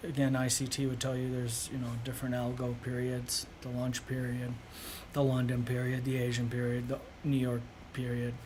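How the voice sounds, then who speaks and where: At a moderate pace, a man of medium pitch speaks in a flat, monotone intonation, with audible room echo. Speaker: day trader streamer. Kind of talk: live trading commentary. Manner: soft-spoken; casual, filler-heavy.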